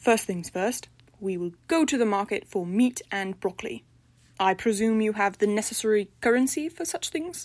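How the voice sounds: Text read in a natural reading voice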